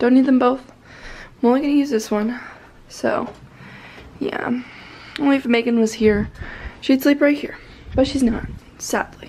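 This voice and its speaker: A woman speaks in a high pitch at a moderate pace with fairly even intonation and long, frequent pauses, over noticeable background noise. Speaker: vlogger. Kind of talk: casual vlog talk.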